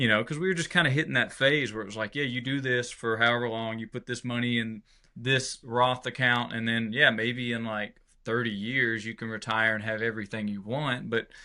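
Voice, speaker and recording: Speaking with a Southern US accent, a man keeps a fairly even intonation. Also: medium pitch for a man, fairly quick pace. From Georgia, US South. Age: 30s. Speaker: country musician. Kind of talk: casual interview chat.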